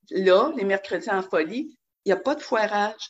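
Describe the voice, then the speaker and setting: Energetic woman with a Quebec accent. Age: 60s. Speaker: dance class student. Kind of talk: casual interview.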